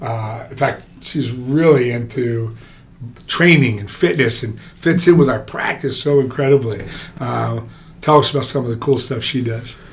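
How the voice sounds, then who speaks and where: A man with an American accent, audible room echo and noticeable background noise. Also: medium pitch for a man, ordinary pitch variation, moderate pace. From New Jersey. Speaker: orthopaedic surgeon. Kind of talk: casual interview.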